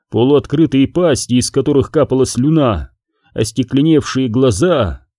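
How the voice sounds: Against a quiet background, a natural reading voice carries ordinary pitch variation.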